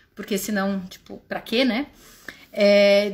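The woman speaks at a very slow pace. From Brazil. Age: 30s. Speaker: walking group leader. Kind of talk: personal testimony. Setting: livestream. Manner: informal.

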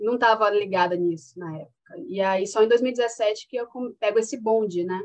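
A woman talks at a moderate pace in an ordinary speaking voice. Her pitch is fairly high, with ordinary pitch variation. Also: big swings in loudness. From Paraíba, Brazil (Patos). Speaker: master's student. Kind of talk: casual chat.

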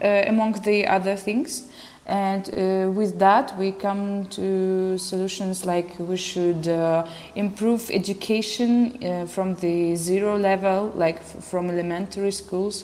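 Over noticeable background noise, a woman speaks very slowly at medium pitch with fairly even intonation. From Belarus. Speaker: artist and activist, former opera singer. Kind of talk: panel discussion. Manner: hesitant.

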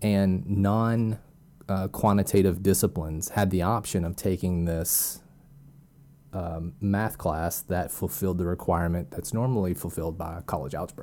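This man's very deep, low voice has a dark, mellow tone and ordinary pitch variation, recorded very cleanly against a silent background. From Arkansas. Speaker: data scientist. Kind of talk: interview. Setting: at home, wife in the room. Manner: hesitant, many fillers.

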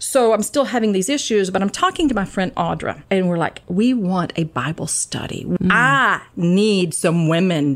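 A woman's plain, everyday voice with an American accent, medium pitch and lively intonation, at a moderate pace with hardly any pauses. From US South, Georgia. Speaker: retired teacher, Bible study leader. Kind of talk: casual chat. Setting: studio.

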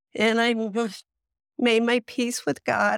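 In a dry, close sound with no echo, a woman speaks at a very slow pace with an American accent. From US Midwest. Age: 60s. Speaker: long COVID patient. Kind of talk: interview testimony. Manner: hesitant, many fillers.

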